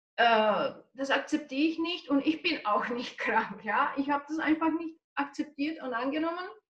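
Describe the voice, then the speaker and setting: A woman with a Czech accent talks at a high pitch. She goes at a fairly slow pace with ordinary pitch variation. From Czech Republic. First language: Czech (speaking German). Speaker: nutrition coach. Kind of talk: interview.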